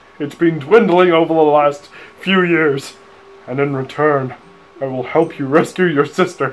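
A man's fairly slow delivery, pitch varying in an ordinary way. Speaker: gamer reading dialogue. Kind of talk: comic game commentary, mock character voice. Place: home room.

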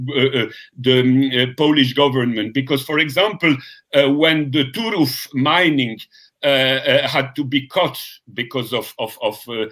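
A man speaks with a fairly bright tone. His pace is fairly slow. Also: medium pitch for a man, ordinary pitch variation.

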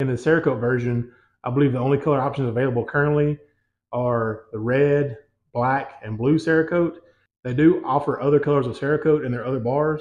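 A man speaks fairly quickly with fairly even intonation. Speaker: home gym equipment reviewer. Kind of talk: product review. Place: gym.

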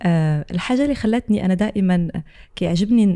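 Pitch variation is ordinary, against a quiet background. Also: woman. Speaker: podcast guest, content creator. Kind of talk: interview answer. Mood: warm, reflective. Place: studio. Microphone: studio mic.

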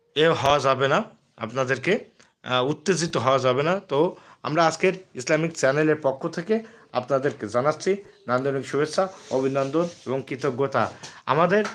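A plain, everyday voice from a man, fairly high in pitch, with ordinary pitch variation and very even loudness. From Bangladesh, Jessore district. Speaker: YouTube channel host, Islamic talk. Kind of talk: live-stream religious talk to viewers. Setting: YouTube live stream.

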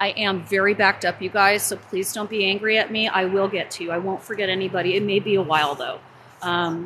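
A woman speaks at a very fast pace with fairly even intonation. Noticeable background noise runs under her voice. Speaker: psychic live-streamer. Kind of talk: casual vlog chat. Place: open country. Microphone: phone near.

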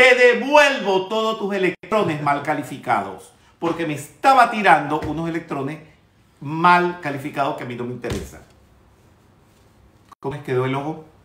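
Speaking at a moderate pace, a man has a fairly high pitch, a fairly bright tone and lively intonation.

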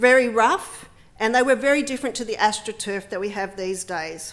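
Speaking in an Australian accent, a woman uses ordinary pitch variation. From Western Sydney, Australia; New South Wales, Australia. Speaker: politician. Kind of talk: speech. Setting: parliament chamber with public gallery. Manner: formal. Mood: warm, personal, measured. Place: hall. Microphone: podium.

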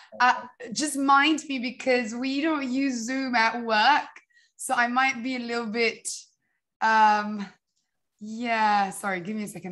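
Her fairly high voice has a bright, sharp tone, and this woman talks at a fairly slow pace with ordinary pitch variation. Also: big swings in loudness. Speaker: social entrepreneur, company founder. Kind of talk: talk with slides. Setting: video call. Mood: friendly, slightly flustered at start. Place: home room. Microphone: video call.

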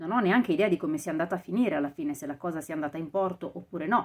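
A woman at a very fast pace, fairly low in pitch, with ordinary pitch variation. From Italy. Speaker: audiobook narrator and vocal coach. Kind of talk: casual talk to camera, podcast commentary. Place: home room. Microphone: lapel.

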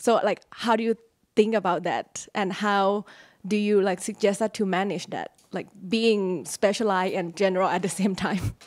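A woman with a Thai accent talks at a moderate pace with fairly even intonation. The background is quiet. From Thailand. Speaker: graduate student. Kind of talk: audience question. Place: hall.

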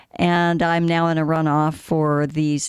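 A woman with a very deep, low pitch and an American accent speaks at a very slow pace with ordinary pitch variation, in a dry sound with no echo and a quiet background. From Arizona, Scottsdale; Arizona. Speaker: city council candidate; council candidate. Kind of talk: interview. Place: studio. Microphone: studio mic.

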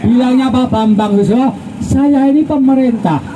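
A man with an extremely high pitch speaks over noticeable background noise. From Central Java. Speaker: religious leader addressing protesters. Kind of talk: speech to a crowd. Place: street. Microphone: pa.

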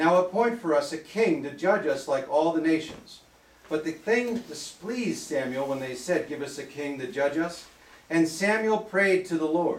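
Audible room echo accompanies speech delivered at a moderate pace. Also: man. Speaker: preacher. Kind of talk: church sermon, preaching to a congregation. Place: church. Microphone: camera far.

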